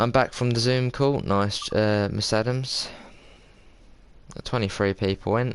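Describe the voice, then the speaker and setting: In a southern English accent, a man talks at a fairly slow pace with long, frequent pauses, medium pitch and fairly even intonation. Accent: southern English, South Coast. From southern England, Sussex. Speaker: game streamer. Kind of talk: casual live stream chat with gameplay.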